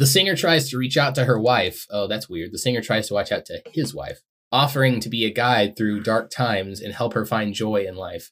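Here a man speaks at a fairly quick pace. His pitch is medium, with ordinary variation. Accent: American. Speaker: podcast co-host. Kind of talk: casual chat, comedic banter. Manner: animated, does impressions.

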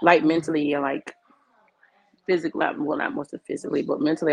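The recording is dry and close, without echo. In it, a woman speaks very fast. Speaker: guest. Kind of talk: casual chat. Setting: video call, headphones.

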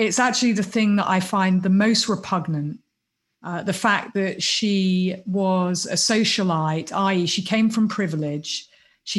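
A woman speaks in a British accent at a fairly slow pace. Her voice is somewhat breathy, medium in pitch, with fairly even intonation. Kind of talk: casual interview chat. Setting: video call.

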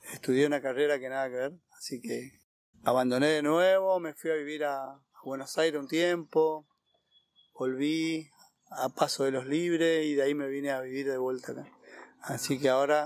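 A man's fairly high voice with fairly even intonation at a moderate pace. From Argentina, Corrientes (Iberá wetlands). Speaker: park ranger. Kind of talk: interview. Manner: halting, many fillers.

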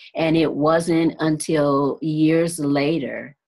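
Using an American accent, a woman speaks at a very slow pace with a very deep, low pitch. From US Midwest, Detroit, Michigan. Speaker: singer and transformational coach. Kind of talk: casual interview.

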